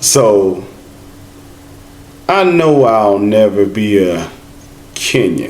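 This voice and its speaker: Lively intonation marks a man's voice with an American accent, heard with audible room echo and noticeable background noise. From United States. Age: 50s. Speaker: travel vlogger. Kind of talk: casual chat.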